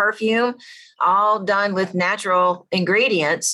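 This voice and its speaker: A woman speaks at medium pitch with a bright, sharp tone. The background is quiet. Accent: Southern. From US South. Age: 50s. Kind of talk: interview testimony. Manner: animated.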